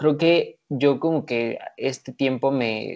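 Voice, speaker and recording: The speaker is a man with a Mexican accent. His pitch is medium, with ordinary pitch variation. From Mexico. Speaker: entrepreneur. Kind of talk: casual chat.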